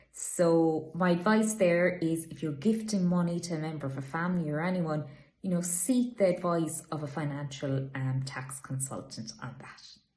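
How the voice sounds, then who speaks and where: Pitch varies in an ordinary way, and the pace is moderate. There is a somewhat breathy quality to the voice. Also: woman. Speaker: estate agent. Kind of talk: informational talk to camera. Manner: casual, conversational.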